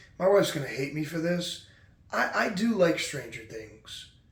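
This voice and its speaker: With audible room echo, a man talks at a moderate pace using lively intonation. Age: 20s. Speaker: podcast host. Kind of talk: casual monologue. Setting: at home late at night. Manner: quiet.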